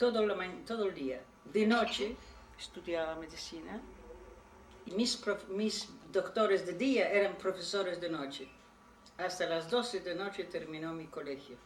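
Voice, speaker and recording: A woman with a medium pitch and ordinary pitch variation speaks at a fairly slow pace with long, frequent pauses, amid audible room echo and noticeable background noise. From Poland. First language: Polish (speaking Spanish). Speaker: Holocaust survivor. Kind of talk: testimony. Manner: halting.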